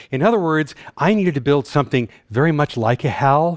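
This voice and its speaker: Fairly high in pitch, a man talks at a fairly quick pace with an American accent and lively intonation, in an ordinary speaking voice. The sound is dry and close, with no echo. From North Texas. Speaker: systems engineer and scientist. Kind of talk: conference talk. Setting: stage with audience.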